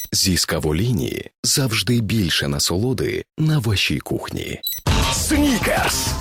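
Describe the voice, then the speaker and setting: The speech moves at a very slow pace. Music plays in the background. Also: man. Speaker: voice-over announcer. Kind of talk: radio and TV commercial read.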